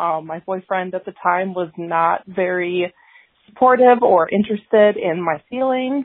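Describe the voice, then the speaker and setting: A woman speaks fairly slowly with an American accent and lively intonation. She has a plain, everyday voice. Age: 30s. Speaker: caller. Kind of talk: testimony. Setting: phone call.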